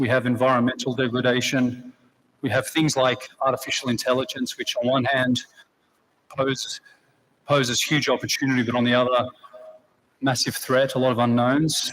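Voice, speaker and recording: Delivered at a moderate pace in an Australian accent, the speech has long, frequent pauses, monotone, flat intonation and very even loudness. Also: man, medium pitch for a man. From Australia, Sydney. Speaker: chief executive, ceremony speaker. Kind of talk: graduation speech. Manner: earnest, with fillers.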